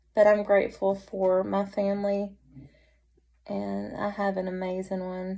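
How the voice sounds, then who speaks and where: A woman speaks in a Southern US accent at a fairly slow pace. Her tone is dark and mellow, and her intonation stays monotone and flat. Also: medium pitch for a woman. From North Carolina. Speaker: vlogger. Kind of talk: casual chat.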